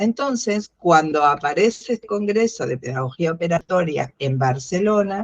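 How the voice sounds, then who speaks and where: Hardly pausing, a woman with an Argentine accent talks at a moderate pace, her fairly low pitch making very wide swings, in a dry, close sound with no echo. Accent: Argentine Spanish (Rioplatense). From Argentina. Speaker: philosophy educator. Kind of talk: interview. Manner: halting, many fillers.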